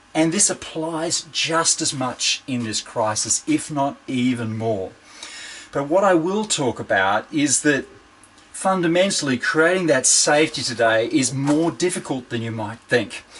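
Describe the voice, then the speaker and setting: A man's fairly high voice in an Australian accent, at a fairly slow pace with lively intonation. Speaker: organizational psychologist and keynote speaker. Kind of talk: keynote presentation. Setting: video call from home shed.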